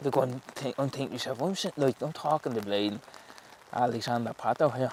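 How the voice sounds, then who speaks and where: Over noticeable background noise, a man with a strong Dublin accent speaks at a fairly quick pace, at a medium pitch with ordinary pitch variation. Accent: Dublin Irish, strong. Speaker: professional footballer. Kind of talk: casual interview chat. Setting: outdoors, footgolf course in rain.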